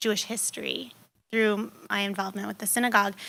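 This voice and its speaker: A woman's bright, sharp tone comes through a very clean recording with a silent background. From California, San Luis Obispo area. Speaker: nonprofit executive director. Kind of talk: Q&A talk.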